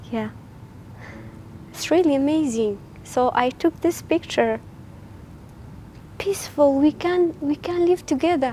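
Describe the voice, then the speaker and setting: Speaking fairly slowly with long, frequent pauses, a woman uses a high pitch and ordinary pitch variation over noticeable background noise. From Iraqi Kurdistan. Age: 20s. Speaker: photography workshop participant. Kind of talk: personal interview about photos. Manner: halting.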